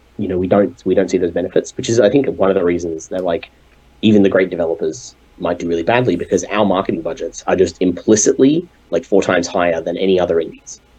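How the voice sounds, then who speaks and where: Talking at a very fast pace, a man with an Australian accent has a very deep, low pitch and a dark, mellow tone. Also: ordinary pitch variation. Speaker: game developer. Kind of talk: interview. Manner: halting.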